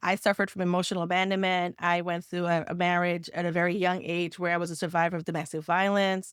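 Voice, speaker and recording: On a very clean recording with a silent background, a woman with a Caribbean accent talks very fast at a fairly low pitch, in a flat monotone with hardly any pauses. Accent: Caribbean island. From Caribbean islands. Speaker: nonprofit funding consultant and business CEO. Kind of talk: podcast interview, personal story.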